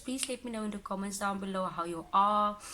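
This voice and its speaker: With an Afrikaans accent, a woman speaks at a medium pitch and with fairly even intonation against noticeable background noise. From Cape Town, South Africa. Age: 20s. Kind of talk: casual talk to camera. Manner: emotional.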